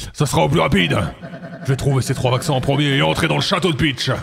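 Putting on a character voice, a man rattles along at a very fast pace with medium pitch over clear background noise. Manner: brash, gruff, boastful.

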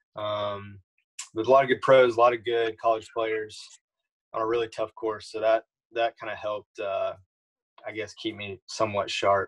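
A somewhat breathy male voice, monotone and flat, with long, frequent pauses over a quiet background. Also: moderate pace. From Louisiana. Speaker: college golfer. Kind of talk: casual interview. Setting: video call. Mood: relaxed, casual. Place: home room. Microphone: video call.

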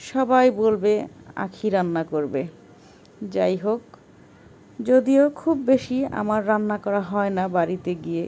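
A woman's medium-pitched voice, dark and mellow in tone, with lively intonation. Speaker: cooking vlogger. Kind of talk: vlog narration.

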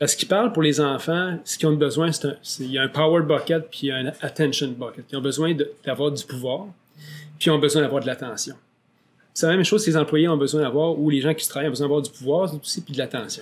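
A man with a fairly high voice rattles along very fast, his pitch varying in the usual way. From Quebec. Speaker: podcast host and real estate agent; podcast host. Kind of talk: interview. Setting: studio. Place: studio. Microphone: studio mic.

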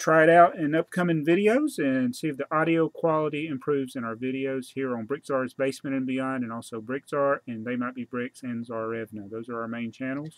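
A man speaks at a moderate pace. The sound is dry with no echo, and the background is quiet. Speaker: channel host. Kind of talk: casual vlog chat. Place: home room. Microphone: webcam.

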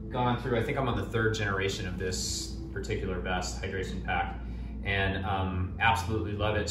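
A man with a very deep, low pitch at a fairly quick pace, amid noticeable background noise and audible room echo. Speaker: gear reviewer. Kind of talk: product review talk. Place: home room. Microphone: camera far.

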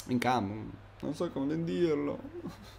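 A man in an animated tone, with very wide pitch swings and audible room echo. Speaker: gaming YouTuber. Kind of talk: live commentary. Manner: halting, stumbling over words.

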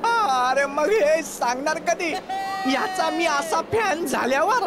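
A cartoonish character voice talks at a very slow pace. Loud background noise sits behind it. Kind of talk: animated comedy sketch.

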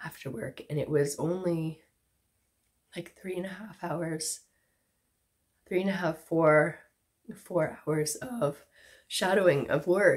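A woman with a fairly low pitch talks at a very slow pace, leaving long, frequent pauses. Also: ordinary pitch variation. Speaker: cancer survivor vlogger. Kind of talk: casual talk to camera.

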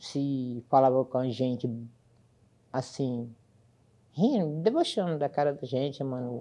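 A woman's very deep, low voice, dark and mellow in tone, at a fairly slow pace with long, frequent pauses. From Brazil, Ceará (Lavras da Mangabeira); Ceará, Brazil. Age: 60s. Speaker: court employee. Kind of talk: testimony. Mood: serious, recounting discrimination. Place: studio.

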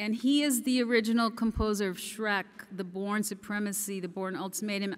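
At a moderate pace, a woman talks in a bright, sharp tone with ordinary pitch variation. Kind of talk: gala acceptance speech. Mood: warm, grateful. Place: hall. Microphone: podium.

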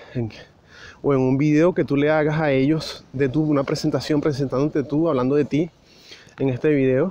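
The tone is dark and mellow, the intonation monotone and flat, and the pace moderate. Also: man, fairly high pitch for a man, very even loudness. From Venezuela. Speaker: immigration vlogger. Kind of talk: walking vlog monologue. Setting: outdoors, walking on the street. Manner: casual, hesitant with fillers.

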